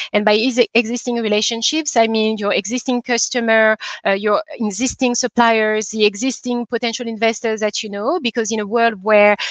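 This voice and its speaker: At a moderate pace, a woman with a French accent speaks with fairly even intonation. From DR Congo. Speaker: investor. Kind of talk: conference talk. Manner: hesitant, many fillers.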